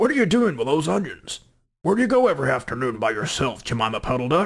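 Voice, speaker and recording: A man's put-on character voice, fairly high-pitched, very fast, with very wide pitch swings. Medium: read story.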